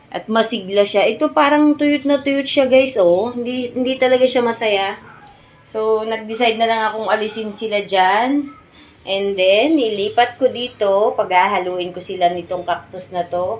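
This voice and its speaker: Noticeable background noise sits behind a woman speaking at a moderate pace. Her voice is fairly high, with ordinary pitch variation. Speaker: gardening vlogger. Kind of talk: casual vlog tutorial. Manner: loud; animated.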